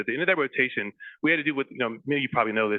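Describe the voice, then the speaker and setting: Very fast speech comes from a man with an American accent. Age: 50s. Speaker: psychiatrist and author. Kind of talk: casual chat. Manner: halting, many fillers and restarts.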